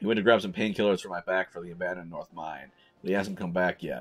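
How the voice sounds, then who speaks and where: A raspy, very deep, low male voice in a put-on character voice, very fast, with fairly even intonation and big swings in loudness. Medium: game stream. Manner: boastful, blustering.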